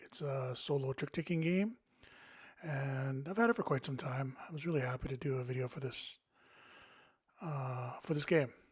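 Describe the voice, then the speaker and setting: A man speaks at a moderate pace in a somewhat breathy voice, with long, frequent pauses. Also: ordinary pitch variation. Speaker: board game youtuber. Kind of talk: casual monologue with gameplay. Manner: rambling, hesitant with fillers.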